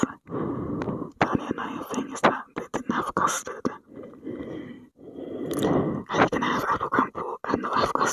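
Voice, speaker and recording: A woman whispers at a very slow pace. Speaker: ASMR creator. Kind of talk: ASMR whispered talk to camera in a gas mask. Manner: whispered, muffled, soft-spoken. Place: home room. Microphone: earbuds.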